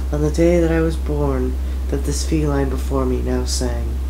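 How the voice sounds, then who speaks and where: Amid noticeable background noise and audible room echo, a man speaks at a moderate pace with very deep, low pitch and monotone, flat intonation. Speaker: amateur voice actor. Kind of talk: reading aloud.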